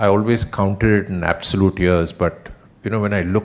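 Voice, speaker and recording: Soft-spoken, a man speaks with a very deep, low pitch. His intonation stays monotone and flat. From India. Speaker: retiring company executive. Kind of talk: farewell speech.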